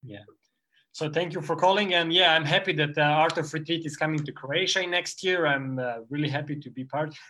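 At a fairly quick pace, a man with a fairly high pitch and a bright, sharp tone speaks with fairly even intonation but big swings in loudness. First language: not English. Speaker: parkour practitioner. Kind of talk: interview. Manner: halting.

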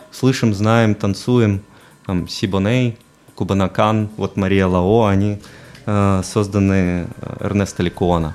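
Very slow speech from a man in a fairly low pitch, his intonation fairly even. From Belarus, Mogilev. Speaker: photographer and DJ. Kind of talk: casual interview. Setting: radio studio. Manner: hesitant, many fillers.

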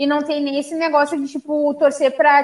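A woman with a high pitch speaks against noticeable background noise. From Rio Grande do Sul, Brazil. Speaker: sports show host. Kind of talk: casual chat about football.

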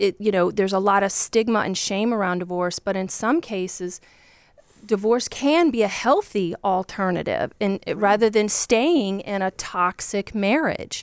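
In a Southern US accent, a woman speaks at a medium pitch and a moderate pace with ordinary pitch variation, the sound dry and close with no echo. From Virginia, US. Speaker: divorce coach.

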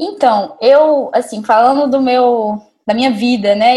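A woman with an ordinary speaking voice and lively intonation. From Brazil, Montes Claros, Minas Gerais. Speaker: neuroradiologist. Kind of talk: casual interview.

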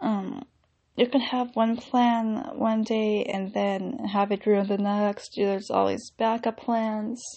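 A woman speaks at a very slow pace with fairly even intonation. Her voice is somewhat breathy and fairly high in pitch. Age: 20s. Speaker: YouTuber and actress in training. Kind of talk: casual solo podcast monologue. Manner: pauses to think.

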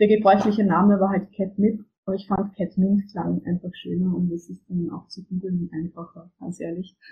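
Talking at a moderate pace with hardly any pauses, a woman uses a medium-pitched, somewhat breathy voice with monotone, flat intonation yet big swings in loudness. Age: 20s. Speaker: book publisher and author. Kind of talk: interview. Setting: remote call from home. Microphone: poor audio quality, recording problems.

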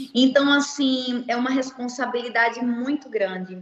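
A woman's high-pitched voice. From Recife, northeastern Brazil. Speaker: founder of a cosmetic surgery financing project. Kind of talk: interview. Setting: livestream.

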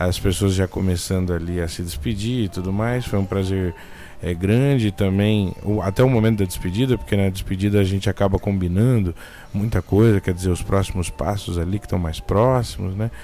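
Talking fairly quickly, a man has a fairly low voice with a dark, mellow tone. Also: ordinary pitch variation. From interior of São Paulo state, Brazil. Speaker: RPG podcaster. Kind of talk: casual chat. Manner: halting, many repetitions.

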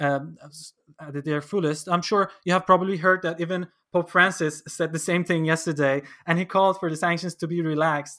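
A fairly quick, monotone delivery with flat intonation and a bright, sharp tone comes through on a very clean recording with a silent background. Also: man, high pitch for a man. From Iran. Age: 20s. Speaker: podcast host, law student. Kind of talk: interview. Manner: halting.

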